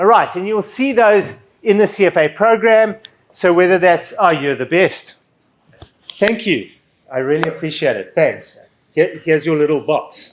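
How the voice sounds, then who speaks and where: Here a man talks at a moderate pace in a high voice. His pitch variation is ordinary. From Southern Africa. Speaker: finance education speaker. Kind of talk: seminar presentation. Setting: seminar hall with audience. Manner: loud, projected.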